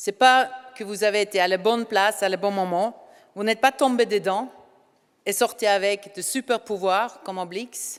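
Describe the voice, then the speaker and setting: Fairly slow woman's voice, fairly high in pitch, with ordinary pitch variation and a Norwegian accent. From Norway. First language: Norwegian (speaking French). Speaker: ceremony speaker. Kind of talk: speech. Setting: hall with audience.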